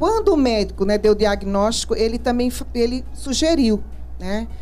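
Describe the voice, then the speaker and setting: There's audible room echo and music in the background as a woman speaks at a moderate pace. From Recife, Pernambuco, Brazil. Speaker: cancer survivor, integrative therapist. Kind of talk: testimony. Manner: laughs often when greeting.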